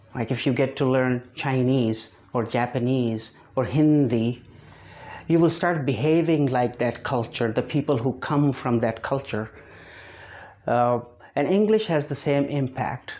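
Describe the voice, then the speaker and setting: A fairly slow delivery with a non-native accent, ordinary pitch variation, and a dark, mellow tone. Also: man, medium pitch for a man. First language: not English. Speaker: English teacher. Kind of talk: online lesson to camera. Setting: speaking to camera.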